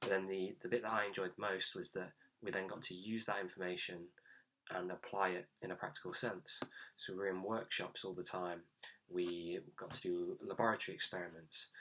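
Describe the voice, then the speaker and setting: A man's very deep, low voice with a bright, sharp tone, monotone and flat in intonation, at a fairly quick pace, with an East Midlands accent. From England, Nottingham. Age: 20s. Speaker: graduate mechanical engineer. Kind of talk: career talk monologue.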